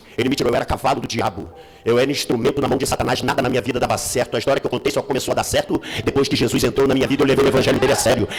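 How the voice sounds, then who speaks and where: Talking at a very fast pace with an animated tone, a man keeps very even loudness at a fairly high pitch over noticeable background noise. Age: 60s. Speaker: pastor. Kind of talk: sermon. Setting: church.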